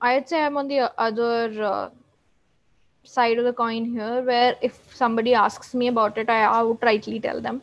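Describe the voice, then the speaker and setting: Pausing long and often, a woman with a high voice speaks at a fairly slow pace. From India. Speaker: lawyer and mental health advocate. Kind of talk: interview. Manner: calm.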